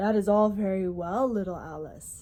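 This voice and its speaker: Using a put-on character voice, a woman speaks at a moderate pace with medium pitch and fairly even intonation. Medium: read story. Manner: gentle, kindly.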